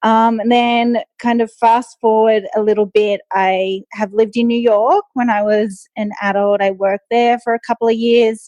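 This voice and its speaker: In an Australian accent, a woman with a fairly high pitch speaks at a moderate pace, the sound dry and close with no echo and music playing in the background. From Australia, Sydney. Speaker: nutritionist and long-distance runner. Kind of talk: interview conversation. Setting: podcast interview.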